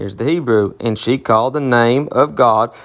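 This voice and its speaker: The speaker is a man in a Southern US accent. Behind him is complete silence on a very clean recording. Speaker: bible teacher. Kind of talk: bible teaching. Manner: casual, conversational.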